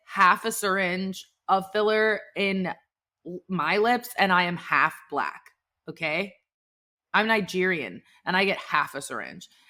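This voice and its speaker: Loud and animated, a woman speaks fairly slowly in a bright, sharp tone with lively intonation. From Texas (Dallas). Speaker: podcast host. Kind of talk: casual chat.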